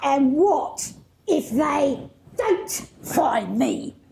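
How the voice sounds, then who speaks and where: A high-pitched, put-on character voice carries the clip. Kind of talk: pantomime stage performance. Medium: stage.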